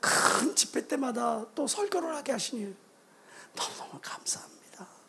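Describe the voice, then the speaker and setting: Fairly slow speech with ordinary pitch variation against noticeable background noise. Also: man. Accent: Jeolla. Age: middle-aged. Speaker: pastor. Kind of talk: sermon. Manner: animated.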